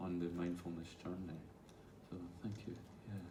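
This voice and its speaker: In audible room echo, a man with a very deep, low pitch speaks at a moderate pace with monotone, flat intonation. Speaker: mindfulness teacher. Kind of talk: talk with audience Q&A. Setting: stage with audience.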